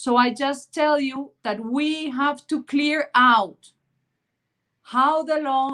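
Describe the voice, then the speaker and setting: A woman speaks in a Spanish accent at a high pitch. Her pace is very slow. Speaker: panel speaker. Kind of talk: panel discussion. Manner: halting.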